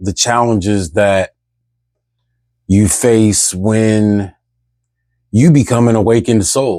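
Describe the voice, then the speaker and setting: Very slow in pace, a man speaks with a fairly low pitch, ordinary pitch variation, and a dark, mellow tone in a very clean recording with a silent background. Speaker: spiritual vlogger. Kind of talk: casual monologue vlog. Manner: loud; rambling, repetitive restarts.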